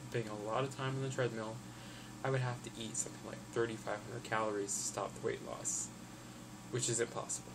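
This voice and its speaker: Audible room echo surrounds a man talking at a medium pitch. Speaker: health vlogger. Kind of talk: casual vlog update. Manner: fast.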